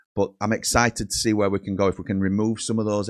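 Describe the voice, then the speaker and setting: A man with a Yorkshire accent speaks in a fairly low pitch at a moderate pace, his intonation monotone and flat. The sound is dry and close with no echo, on a very clean recording with a silent background. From Yorkshire, England. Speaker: football fan channel host. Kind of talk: casual solo livestream chat. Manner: casual, rambling with frequent fillers.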